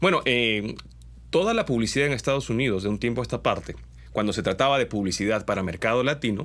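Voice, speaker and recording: A man talking at a very fast pace, medium pitch, ordinary pitch variation, on a very clean recording with a silent background. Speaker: commercial voice-over artist. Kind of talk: casual talk to camera.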